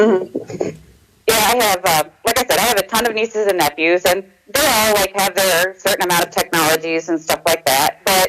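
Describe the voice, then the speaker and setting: Background noise is noticeable throughout. The talking goes at a fairly brisk clip. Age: 30s. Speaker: caller. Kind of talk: casual chat.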